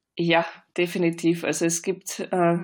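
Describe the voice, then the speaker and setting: With a slight Austrian accent, a woman speaks at a fairly low pitch with vocal fry in a very clean recording with a silent background. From Austria, Vienna. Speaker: author. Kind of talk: interview.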